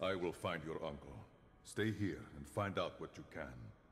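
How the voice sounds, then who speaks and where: A man puts on a character voice with a very deep, low pitch, and clear background noise can be heard. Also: moderate pace. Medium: video game. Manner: formal, measured.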